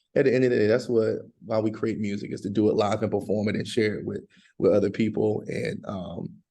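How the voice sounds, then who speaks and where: Speaking very fast in a Southern US accent, a man delivers his words at a fairly low pitch with a dark, mellow tone and fairly even intonation. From US South, North Carolina (Bahama, near Durham). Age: middle-aged. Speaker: country and rock singer. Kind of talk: casual interview.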